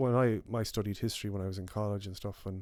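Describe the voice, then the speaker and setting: In a western Irish accent, a man talks very fast in a fairly low, monotone, flat voice, on a very clean recording with a silent background. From west of Ireland (Clare, Mayo). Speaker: podcast co-host. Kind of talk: casual chat. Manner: halting, many fillers.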